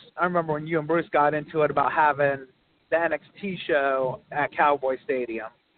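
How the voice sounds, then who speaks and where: Speaking at a moderate pace, a man uses an ordinary speaking voice with fairly high pitch and ordinary pitch variation. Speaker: caller. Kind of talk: casual chat. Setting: phone call.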